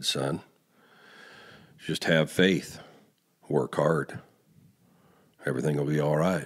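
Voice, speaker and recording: In a put-on character voice, a man booms at a very deep, low pitch, going at a fairly slow pace with long, frequent pauses. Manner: reassuring, fatherly.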